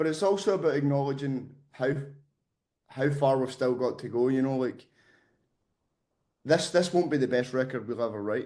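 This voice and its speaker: A man talks at a moderate pace in a dark, mellow voice of medium pitch. His pitch varies normally, broken by long, frequent pauses. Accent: Scottish. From Scotland. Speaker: metal band vocalist. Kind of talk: interview.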